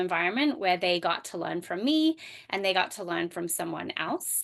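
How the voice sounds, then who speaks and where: This is a woman's voice. She has an Australian accent. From Australia, rural bush. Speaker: homeschooling mom and microschool founder. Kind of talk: podcast interview. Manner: hesitant, many fillers.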